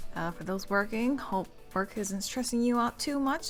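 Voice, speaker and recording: A woman talks at a moderate pace in a medium pitch. She has an unremarkable speaking voice. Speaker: esports stream caster. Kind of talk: stream intro, casual announcements. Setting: live stream.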